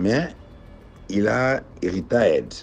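A man is speaking. Music plays in the background. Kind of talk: testimony. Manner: halting.

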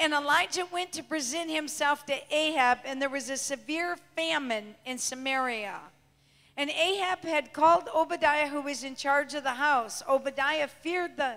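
A woman's high voice, bright and sharp in tone, with ordinary pitch variation at a moderate pace. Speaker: preacher. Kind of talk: sermon. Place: church. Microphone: handheld.

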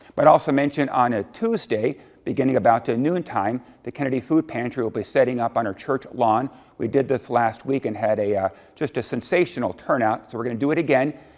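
A man, heard over a quiet background, speaks fairly quickly with ordinary pitch variation. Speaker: lead pastor. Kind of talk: welcome and church announcements. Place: church.

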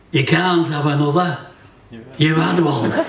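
Light background noise and audible room echo around a man's voice. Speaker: poet. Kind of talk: comic poetry reading at a folk gathering. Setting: live performance in a hotel venue. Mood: wry, deadpan humour.

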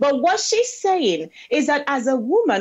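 A woman with a Nigerian accent at a moderate pace against a quiet background. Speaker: pro-life advocate; guest. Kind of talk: interview. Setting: video call. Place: home room. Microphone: earbuds.

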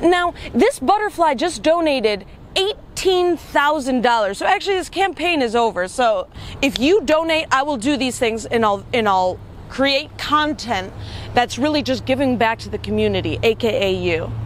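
A woman talks at a moderate pace in a high pitch, her pitch swinging very widely. The sound is dry with no echo, over light background noise. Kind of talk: casual vlog chat. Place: waterside.

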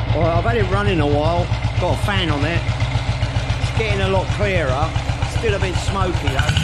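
A man talks at a fairly quick pace. Loud background noise is present. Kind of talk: casual workshop commentary. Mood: wry, mildly disappointed. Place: workshop.

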